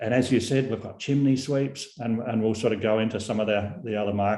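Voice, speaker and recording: Speaking with a New Zealand accent, a man has a medium pitch, a dark, mellow tone and ordinary pitch variation. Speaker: company founder and CEO. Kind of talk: product presentation. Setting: video call webinar.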